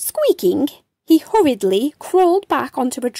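A woman speaks at a fairly slow pace with a slightly mellow tone. The sound is dry and close, with no echo.

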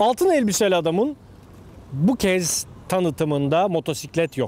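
A man at a fairly slow pace, in a dry sound with no echo. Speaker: motorcycle rider. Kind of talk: show intro to camera. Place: waterside.

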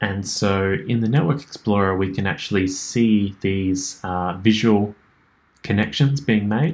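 At a fairly slow pace, a man speaks in a low voice.

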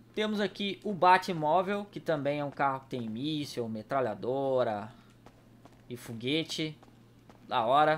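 A man with a fairly high pitch talks at a fairly slow pace, using lively intonation and long, frequent pauses. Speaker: gaming YouTuber. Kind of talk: casual gameplay commentary. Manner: animated.

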